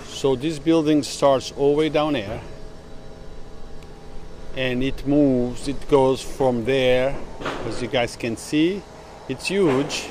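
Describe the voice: Taking long, frequent pauses at a slow pace, a man with a medium pitch, ordinary pitch variation and a slightly mellow tone speaks over faint background noise.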